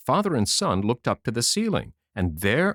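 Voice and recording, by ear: Against little background sound, a speaker reads aloud in a natural voice.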